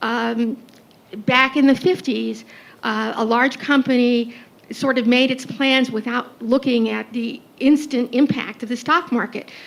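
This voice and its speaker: A woman with a high-pitched voice talks at a fairly slow pace. Her intonation stays fairly even. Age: 70s. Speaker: audience member, physician and attorney. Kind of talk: audience question.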